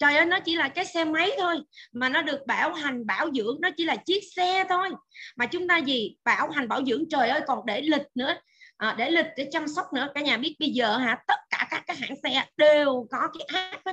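Raising and projecting her voice, a woman with a high pitch speaks at a moderate pace in a bright, sharp tone with lively intonation. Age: 40s. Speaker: nutrition expert. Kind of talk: lecture. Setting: video call.

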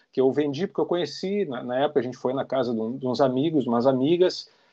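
Over a quiet background, a man with a dark, mellow tone speaks at a very fast pace with ordinary pitch variation. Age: 50s. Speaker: rock guitarist. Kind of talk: casual interview.

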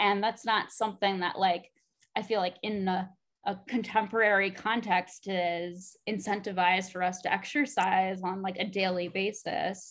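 An unremarkable speaking voice from a woman, medium in pitch, moderate in pace, with fairly even intonation. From US Midwest, Chicago. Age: 20s. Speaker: podcast host. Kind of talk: casual chat.

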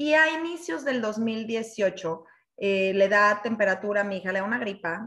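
A woman speaks at a medium pitch. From Mexico City. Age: 30s. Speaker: network marketing team leader. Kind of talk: personal testimony presentation. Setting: online live session.

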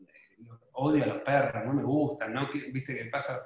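A man with a Rioplatense accent, a fairly high pitch and a moderate pace. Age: 40s. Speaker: fashion brand owner. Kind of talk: interview.

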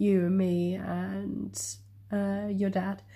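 A woman with an English accent speaks at a very slow pace. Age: 20s. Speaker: podcast co-host. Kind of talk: casual chat.

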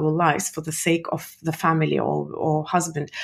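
A woman's vocal fry at a fairly slow pace. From Soviet Union (Russia). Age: 40s. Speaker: entrepreneur and speaker. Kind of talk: interview. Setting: podcast. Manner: hesitant, many fillers.

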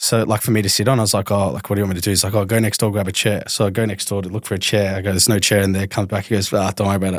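Speaking very fast with hardly any pauses, a man with an Australian accent holds a flat monotone at a fairly low pitch on a very clean recording with a silent background. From Australia, southeast Melbourne. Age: 30s. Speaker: retired professional footballer. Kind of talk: casual chat.

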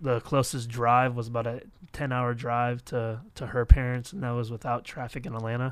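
A man with an American accent speaks at a moderate pace and medium pitch. His intonation is monotone and flat, with big swings in loudness. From Florida. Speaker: youth pastor, podcast host. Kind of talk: casual chat.

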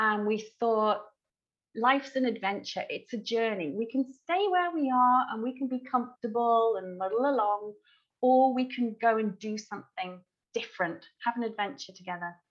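Someone with an English accent talks at a moderate pace, using ordinary pitch variation. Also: woman, fairly high pitch for a woman. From England. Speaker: wedding celebrant. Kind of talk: interview.

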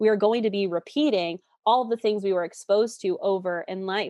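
At a moderate pace, this is a plain, everyday voice. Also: woman. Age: 20s. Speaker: relationship coach. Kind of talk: interview.

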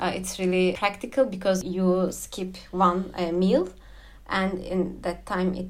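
The speaker talks at a very slow pace in a Turkish accent. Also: woman. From Turkey. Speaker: expat spouse guest. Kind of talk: casual interview. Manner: hesitant, many fillers.

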